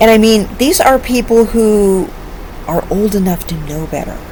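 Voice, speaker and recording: An animated woman over noticeable background noise. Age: 50s. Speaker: online commentator. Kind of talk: casual vlog monologue.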